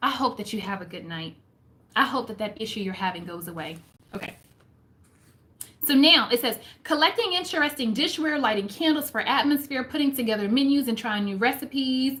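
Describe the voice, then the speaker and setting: Speaking at a fairly quick pace with long, frequent pauses, a woman uses a high voice that makes very wide pitch swings. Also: big swings in loudness. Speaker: homemaking and faith vlogger. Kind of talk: live stream book discussion. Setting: live stream.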